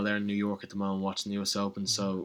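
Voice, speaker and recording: This man has an Irish accent and a fairly low pitch. His tone is bright and sharp. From Ireland. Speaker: college tennis player. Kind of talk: casual interview.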